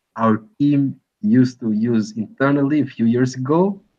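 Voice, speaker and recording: A man with a non-native accent, medium pitch and lively intonation, at a very slow pace against a quiet background. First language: not English. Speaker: software and ad-tech business guest. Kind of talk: webinar Q&A. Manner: halting, many fillers.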